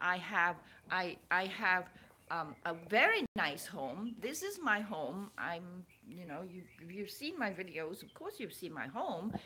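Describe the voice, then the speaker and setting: With lively intonation and big swings in loudness, a woman speaks at a fairly slow pace and medium pitch while noticeable background noise runs behind her. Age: 60s. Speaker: spiritual vlogger and author. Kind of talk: casual personal vlog. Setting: at home. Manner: halting, with many repeats.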